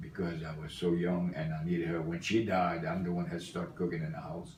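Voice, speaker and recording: A man speaks in a very deep, low pitch at a fairly quick pace. His intonation is monotone and flat, with audible room echo around him. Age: 70s. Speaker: grandfather interviewed for school project. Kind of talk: family interview. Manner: halting.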